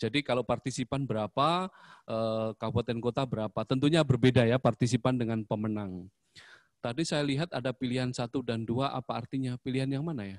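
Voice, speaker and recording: Against a quiet background, a man speaks at a very fast pace in a dry sound with no echo. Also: ordinary pitch variation. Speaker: school principal; presenter. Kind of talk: information session presentation. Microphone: voice sounds too quiet; handheld.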